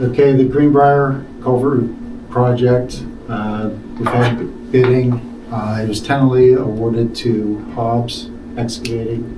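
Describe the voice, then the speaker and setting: At a fairly slow pace, a man speaks in a flat monotone at a medium pitch, with audible room echo and noticeable background noise. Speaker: township engineer. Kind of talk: public meeting report. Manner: quiet.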